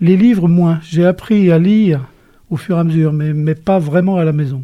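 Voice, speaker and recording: A man talks at a fairly slow pace with a high pitch. His tone is dark and mellow. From western France, Cholet (Maine-et-Loire). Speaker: retired journalist and author. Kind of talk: interview.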